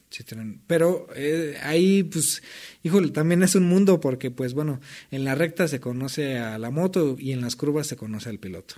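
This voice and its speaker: With a dark, mellow tone and big swings in loudness, a man speaks at a moderate pace with a fairly high pitch and ordinary pitch variation. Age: 30s. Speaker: former debt collector, racing driver. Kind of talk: casual interview chat.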